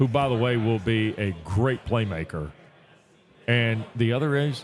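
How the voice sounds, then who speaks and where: An ordinary speaking voice, with very even loudness and ordinary pitch variation, moves at a fairly slow pace. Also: man, medium pitch for a man. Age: 50s. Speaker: college football broadcaster. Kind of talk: casual chat.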